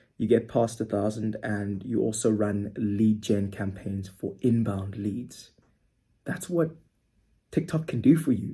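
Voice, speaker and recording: A man speaks at a moderate pace in a dark, mellow tone that is somewhat breathy. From South Africa. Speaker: social media marketing agency owner. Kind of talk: casual tutorial monologue.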